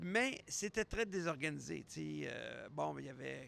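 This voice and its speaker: A man with a Quebec accent speaks at a very slow pace. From Quebec, Montreal. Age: 60s. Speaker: podcast host. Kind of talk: casual solo podcast monologue. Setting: airport.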